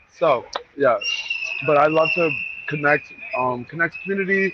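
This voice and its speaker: Ordinary pitch variation from a male speaker, noticeable background noise behind. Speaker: speaker on business and fashion networking. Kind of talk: presentation with slides. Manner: fast; animated.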